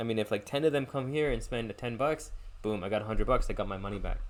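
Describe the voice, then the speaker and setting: At a very fast pace, a man with a medium-pitched voice speaks using ordinary pitch variation. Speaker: podcast host and chess player. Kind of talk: solo podcast monologue. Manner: casual, filler-heavy.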